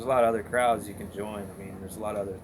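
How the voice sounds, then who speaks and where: A man speaks with a fairly low pitch. Audible room echo surrounds his voice. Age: young. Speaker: interviewee sharing drunk driving story. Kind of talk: interview testimony.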